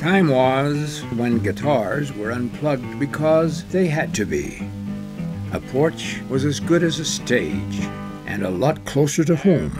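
Lively intonation from a man of medium pitch at a very slow pace, with music in the background. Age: old. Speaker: voice-over performer in a commercial. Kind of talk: TV commercial voice-over.

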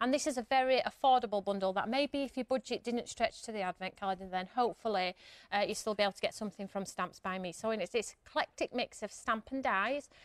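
Over a quiet background with a dry sound and no echo, a woman talks at a very fast pace with hardly any pauses and ordinary pitch variation. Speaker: guest. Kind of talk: TV shopping product demonstration. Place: studio.

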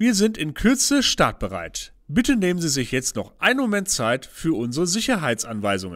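A man uses a put-on character voice, raised and projected, resonant and high-pitched, with very wide pitch swings. He keeps a moderate pace on a very clean recording with a silent background. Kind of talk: in-flight PA announcement. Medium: audio drama.

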